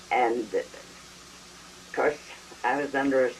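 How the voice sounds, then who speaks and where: A woman speaks with a very deep, low pitch. Background noise is noticeable. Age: 80s+. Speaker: storyteller. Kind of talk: oral history.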